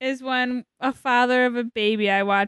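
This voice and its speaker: In a dry, close recording with no echo, a woman uses an ordinary speaking voice with a fairly high pitch and ordinary pitch variation. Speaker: guest. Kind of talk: casual chat. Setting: studio.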